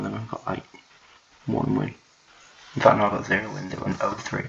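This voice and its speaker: A man whispering at a very fast pace over noticeable background noise. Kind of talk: casual gameplay commentary. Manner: whispered.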